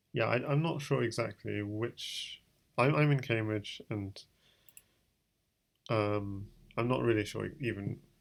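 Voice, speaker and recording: Spoken at a fairly slow pace with long, frequent pauses, the British-accented voice comes through on a very clean recording with a silent background. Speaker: chess streamer. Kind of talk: live game commentary. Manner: thinking aloud, hesitant with fillers.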